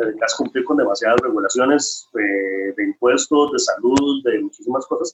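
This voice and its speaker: A man with a Costa Rican accent talks at a moderate pace with hardly any pauses. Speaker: chef and restaurant owner. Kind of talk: interview.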